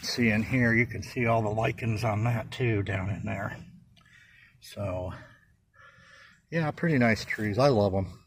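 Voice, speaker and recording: A man's somewhat breathy voice at medium pitch, fairly slow, with long, frequent pauses and ordinary pitch variation. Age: 60s. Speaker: plant grower. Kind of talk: casual video tour. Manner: casual, many fillers.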